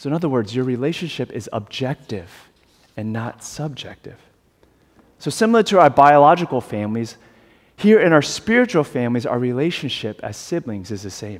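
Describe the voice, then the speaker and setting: Speaking with an American accent, a man talks at a medium pitch and a fairly quick pace, with very wide pitch swings and big swings in loudness. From US South, South Carolina. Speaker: pastor. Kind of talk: sermon. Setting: church. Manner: halting, frequent fillers.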